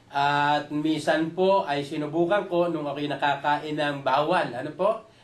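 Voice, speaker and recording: With audible room echo, a man speaks fairly slowly at a fairly high pitch and with fairly even intonation. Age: 60s. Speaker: product user giving testimonial. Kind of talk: testimony. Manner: halting; polite.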